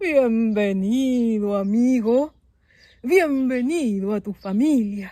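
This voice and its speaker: Put-on character voice, female-sounding and fairly high in pitch, at a very slow pace. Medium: read story. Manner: solemn, welcoming.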